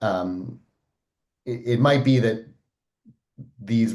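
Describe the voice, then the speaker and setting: With an American accent, a man speaks at a medium pitch and a fairly slow pace, his intonation fairly even. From United States. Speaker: audience member asking questions, philosopher. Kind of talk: Q&A question at online event.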